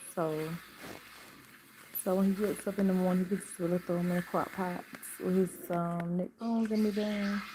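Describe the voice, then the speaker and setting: Over noticeable background noise, a woman with a medium pitch speaks in a relaxed tone at a fairly quick pace. Her intonation is monotone and flat, and she takes long, frequent pauses. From Atlanta, Georgia (DeKalb, east side). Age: 50s. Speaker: lifestyle vlogger. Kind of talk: casual live stream chat. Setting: home live stream at night. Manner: relaxed, chatty.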